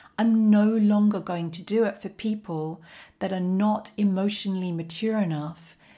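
A woman talks fairly slowly in a dark, mellow, somewhat breathy voice, her intonation fairly even. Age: 40s. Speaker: life coach podcast host. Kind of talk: solo motivational monologue.

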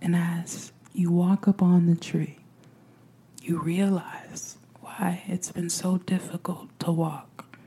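A soothing, calm tone moves at a very slow pace against noticeable background noise. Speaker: meditation guide podcaster. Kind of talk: guided meditation. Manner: slow, soothing, calm and gentle with long pauses.

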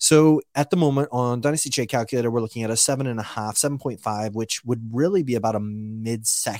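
A man speaks at a medium pitch with ordinary pitch variation and an animated tone. His pace is fairly quick, and the sound is dry and close with no echo. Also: hardly any pauses. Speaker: podcast host. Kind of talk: casual podcast banter about fantasy football. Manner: animated, joking.

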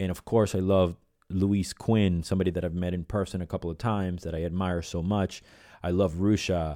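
Speaking with an American accent, a man has a dark, mellow tone and a very deep, low pitch. He talks at a fairly quick pace on a very clean recording with a silent background. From Venezuela / US. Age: 40s. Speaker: podcast host, professional musician. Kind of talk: solo podcast monologue. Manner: animated.

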